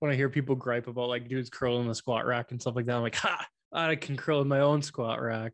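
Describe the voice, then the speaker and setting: A man with an unremarkable speaking voice talks at a medium pitch with fairly even intonation, recorded dry and close with no echo against a quiet background. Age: 20s. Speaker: podcast co-host, student. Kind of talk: casual chat.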